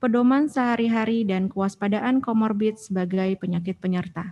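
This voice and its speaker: Over a quiet background comes a woman's somewhat breathy voice at a fairly high pitch. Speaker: doctor, moderator; moderator. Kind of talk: moderating a webinar. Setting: video call. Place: meeting room. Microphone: podium.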